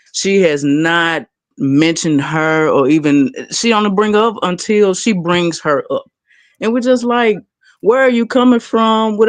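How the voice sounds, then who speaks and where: With a Memphis accent, the speaker keeps a moderate pace against a quiet background. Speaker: panel guest speaker. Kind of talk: impassioned rant on a live panel. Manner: animated.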